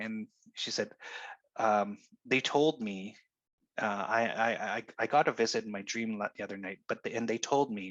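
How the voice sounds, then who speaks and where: A man talks at a moderate pace and a medium pitch. The sound is dry and close with no echo, with a quiet background. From Canada, Cree. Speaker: minister. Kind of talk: interview answer. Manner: hesitant, repeats words.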